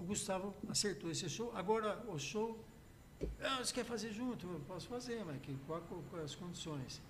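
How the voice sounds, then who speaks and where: At a moderate pace and with ordinary pitch variation, the voice comes through with audible room echo and noticeable background noise. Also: man, high pitch for a man. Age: 70s. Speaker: music producer and musician. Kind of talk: casual chat.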